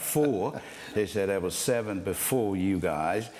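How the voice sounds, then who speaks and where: With an American accent, a man speaks at a fairly low pitch over noticeable background noise. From US South. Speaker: pastor. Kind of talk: interview testimony. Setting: studio.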